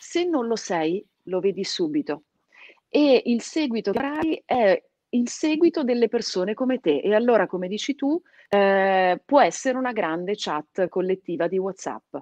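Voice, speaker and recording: Against a quiet background, a woman talks at a fairly slow pace and fairly high pitch with very wide pitch swings. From Piedmont, Italy (born in Calabria); Piedmont, Italy. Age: 30s. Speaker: radio host. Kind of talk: casual interview. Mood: warm, animated. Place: home room. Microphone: video call.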